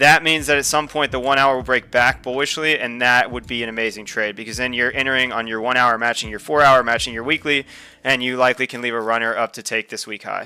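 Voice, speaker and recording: With a bright, sharp tone and fairly even intonation, a man speaks at a medium pitch and a very fast pace with hardly any pauses. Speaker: crypto trading livestreamer. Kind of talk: live stream technical analysis. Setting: live stream. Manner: casual.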